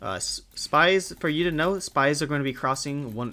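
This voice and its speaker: In a very clean recording with a silent background, a man speaks at a moderate pace with a bright, sharp tone. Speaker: gamer. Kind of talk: gaming tutorial talk. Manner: stutters; casual.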